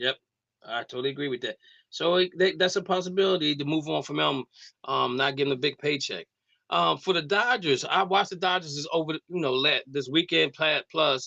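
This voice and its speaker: A man with fairly high pitch talks at a fairly quick pace in a bright, sharp tone with vocal fry, the sound dry and close with no echo. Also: ordinary pitch variation. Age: 60s. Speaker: sports radio host. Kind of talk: casual sports talk.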